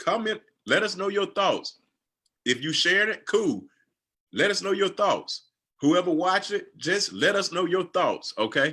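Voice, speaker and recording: A raised, projected voice in a Southern US accent, bright and sharp in tone, at a fairly slow pace with long, frequent pauses, on a very clean recording with a silent background. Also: man, high pitch for a man, ordinary pitch variation. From US South, Georgia. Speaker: financial coach. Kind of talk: livestream chat.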